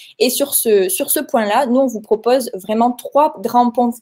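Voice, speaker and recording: The woman's tone is dark and mellow, her pitch fairly high. She speaks at a fairly slow pace. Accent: Toulouse. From Toulouse, southern France. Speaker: software company representative. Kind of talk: webinar presentation.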